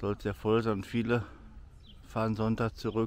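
Over light background noise, the speech moves at a moderate pace in a dry sound with no echo. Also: man. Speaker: vlogger. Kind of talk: casual vlog chat. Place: open country. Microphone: phone near.

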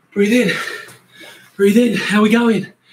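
Speaking at a moderate pace, a man is recorded with audible room echo and light background noise. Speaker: fitness coach. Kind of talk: workout instruction. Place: garden. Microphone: camera far.

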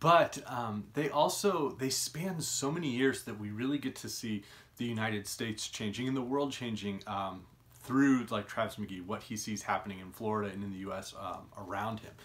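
This man talks at a moderate pace. His pitch moves with ordinary variation. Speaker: book vlogger. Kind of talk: casual vlog chat. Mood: cheerful, enthusiastic. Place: home room. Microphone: phone near.

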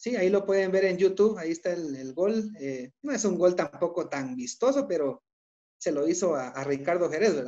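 A man's high voice in a dark, mellow tone, with lively intonation at a moderate pace against a quiet background. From Guatemala. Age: 30s. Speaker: co-host, doctor and football fan; co-host. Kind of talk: casual sports talk show. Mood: enthusiastic, nostalgic. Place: home room. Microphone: video call.

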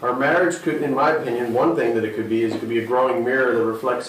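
Intonation stays fairly even with audible room echo. Music sounds in the background. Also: man. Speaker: pastor. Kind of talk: sermon. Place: stage.

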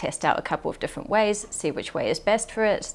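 A woman is talking. Her pace is fairly quick. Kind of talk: interview answer. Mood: relaxed, reflective. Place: studio.

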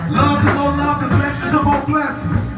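Against clear background music and audible room echo, a man talks at a moderate pace. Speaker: performer hosting the stage. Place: bar.

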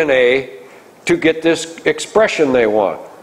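A man is speaking. He has an Upper Midwest accent. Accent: Upper Midwest American. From northwest Iowa, USA. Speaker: farmer and crop nutrition advisor. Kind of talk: public lecture. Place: meeting room.

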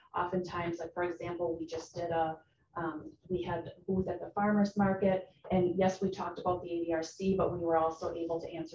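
A woman's fairly low, monotone voice with flat intonation at a fairly quick pace, over noticeable background noise. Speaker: presenter. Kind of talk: presentation to committee. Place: meeting room.

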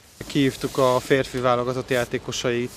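A man's monotone, flat intonation in a dry sound with no echo, over light background noise. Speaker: club official. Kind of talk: interview statements. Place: street. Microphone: handheld.

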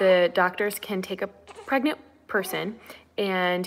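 A woman's medium-pitched voice with ordinary pitch variation and light background noise. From Cuban-American family. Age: 30s. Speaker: OB-GYN doctor. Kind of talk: live Q&A. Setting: at home, sitting on living room floor. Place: home room. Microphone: webcam.

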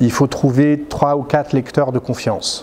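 A man talks at a moderate pace, and some light noise sits behind him. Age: 50s. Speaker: novelist; interviewee. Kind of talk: interview. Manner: hesitant, with frequent fillers. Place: hall.

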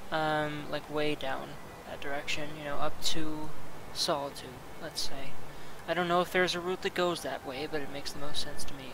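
Over noticeable background noise, a man speaks in a monotone, flat intonation at a fairly high pitch. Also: moderate pace. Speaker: let's play gamer. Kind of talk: casual gameplay commentary. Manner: stuttering, stumbling over words.

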